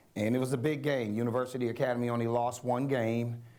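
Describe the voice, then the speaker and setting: With audible room echo, a man speaks fairly quickly in a flat, monotone delivery at a medium pitch. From Chicago, US Midwest. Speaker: school superintendent. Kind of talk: speech to a business school audience. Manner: conversational.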